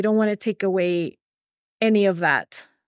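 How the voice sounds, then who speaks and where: A woman with a Spanish accent at a moderate pace, ordinary pitch variation, and a dry, close sound with no echo. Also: very clean recording, silent background. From Ecuador (Quito). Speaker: teacher. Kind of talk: interview.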